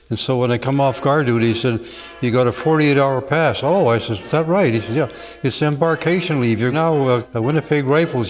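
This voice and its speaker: Music plays in the background as a man talks with a Canadian accent. His medium pitch carries ordinary pitch variation at a fairly quick pace. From Canada. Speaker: war veteran. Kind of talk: testimony. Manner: halting.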